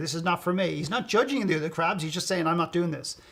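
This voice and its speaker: Noticeable background noise surrounds a man with a high pitch. He talks at a very fast pace with ordinary pitch variation. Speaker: motivational speaker and coach. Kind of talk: interview answer. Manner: blunt, profane, animated.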